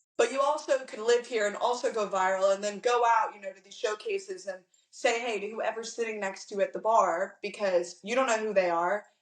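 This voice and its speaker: With an American accent, a woman speaks at a fairly quick pace with hardly any pauses, her pitch fairly high and her pitch variation ordinary. It is an unremarkable speaking voice, marked by big swings in loudness. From Virginia, Hampton Roads. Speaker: country singer-songwriter. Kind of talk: interview.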